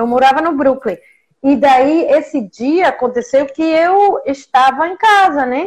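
With a Mexican accent, a woman speaks fairly slowly in a high pitch with lively intonation. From Mexico. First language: Spanish (speaking Portuguese). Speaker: professor. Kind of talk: interview. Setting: video call.

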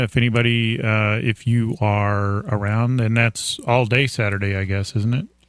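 The man has an unremarkable speaking voice, pitched in the middle range and paced moderately. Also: very even loudness. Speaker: radio co-host. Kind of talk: casual chat. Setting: studio.

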